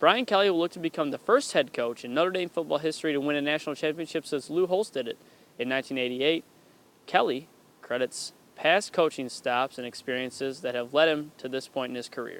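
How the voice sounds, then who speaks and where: This is a normal speaking voice from a man at a fairly quick pace. His pitch is fairly high, with ordinary variation. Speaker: sports reporter and anchor. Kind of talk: sports news anchor and reporter delivery.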